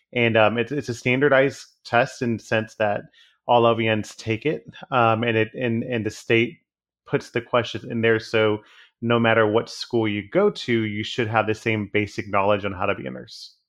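At a moderate pace, a man with an American accent talks at a medium pitch with fairly even intonation. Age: 30s. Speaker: hospice nurse. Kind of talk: casual interview chat. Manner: hesitant, filler-heavy.

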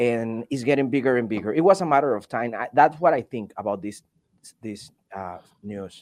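Over a quiet background, a man speaks at a moderate pace and medium pitch with lively intonation. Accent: Venezuelan. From Venezuela. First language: Spanish. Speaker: delivery driver and video content creator. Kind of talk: casual chat.

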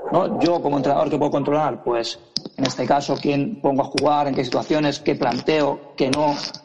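A man speaks at a moderate pace in a fairly high voice, his loudness very even and his intonation fairly level, with noticeable background noise. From Badalona, Catalonia, Spain. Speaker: youth basketball coach. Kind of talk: interview.

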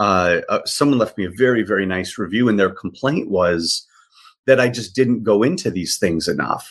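This man has a normal speaking voice with an American accent and a fairly low pitch. His intonation is lively. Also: moderate pace. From US Midwest, south side of Chicago. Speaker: art dealer. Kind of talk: casual interview.

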